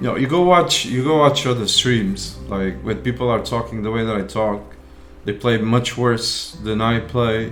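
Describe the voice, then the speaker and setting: A man's medium-pitched voice at a fairly slow pace, with ordinary pitch variation, audible room echo and music in the background. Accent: non-native. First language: not English. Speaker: game streamer. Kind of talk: live gameplay stream commentary. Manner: halting, repeating words.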